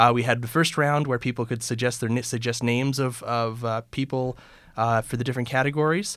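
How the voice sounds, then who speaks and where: With a Canadian accent and an unremarkable speaking voice, a man of medium pitch talks at a fairly quick pace with fairly even intonation on a very clean recording with a silent background. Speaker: political podcast host. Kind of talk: casual panel discussion.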